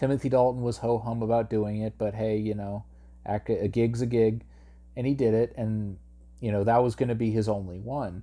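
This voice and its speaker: A man delivers his lines with monotone, flat intonation and a dark, mellow tone. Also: medium pitch for a man, moderate pace. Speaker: podcast host and movie reviewer. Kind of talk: solo monologue movie review. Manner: casual, halting with frequent fillers and restarts.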